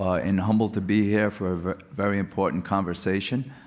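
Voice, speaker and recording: With a Rhode Island accent, a man speaks at a fairly low pitch. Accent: non-rhotic Rhode Island. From Rhode Island (Providence). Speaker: police official, government office head. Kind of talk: panel discussion.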